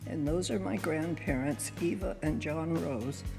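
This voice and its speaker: With music in the background and audible room echo, a woman with an American accent speaks at a fairly slow pace in a very deep, low voice that swings very widely in pitch. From Northern California. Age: 90s. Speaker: oral history interviewee. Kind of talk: interview; narration over photos. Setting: museum auditorium.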